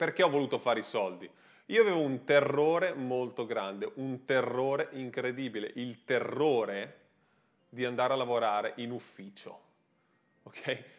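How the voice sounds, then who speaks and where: A man talks at a medium pitch and a moderate pace, with an animated tone and ordinary pitch variation. He takes long, frequent pauses against a quiet background. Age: 30s. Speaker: online business coach. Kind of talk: livestream monologue. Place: studio.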